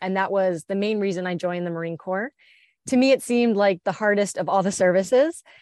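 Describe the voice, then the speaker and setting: A woman's unremarkable speaking voice with an American accent, medium in pitch with ordinary pitch variation, in a dry, close sound with no echo and a quiet background. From US Northeast, New Jersey near Philadelphia. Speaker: war veteran. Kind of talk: interview.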